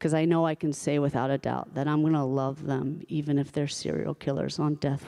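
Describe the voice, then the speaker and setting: Monotone, flat intonation with an American accent, vocal fry, a dark, mellow tone and a moderate pace. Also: woman. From New York. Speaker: storyteller. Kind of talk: personal storytelling performance. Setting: stage with live audience.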